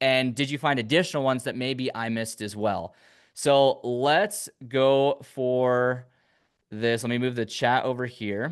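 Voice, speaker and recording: In a quiet background, a man speaks fairly slowly in an unremarkable speaking voice with ordinary pitch variation. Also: medium pitch for a man. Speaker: online business coach. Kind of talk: live tutorial. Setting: livestream with chat.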